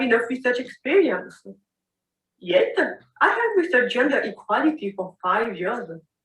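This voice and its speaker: A woman with a non-native accent, very wide pitch swings and a moderate pace. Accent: non-native English speaker's voice. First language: not English. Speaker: women's health capacity building officer. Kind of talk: pre-recorded personal testimony.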